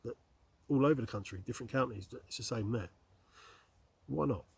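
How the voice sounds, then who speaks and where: A man's medium-pitched, somewhat breathy voice with lively intonation and a southern English accent. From southeast England, Slough. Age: 50s. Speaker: outdoor vlogger and delivery driver. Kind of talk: casual vlog monologue. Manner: conversational, hesitant with fillers.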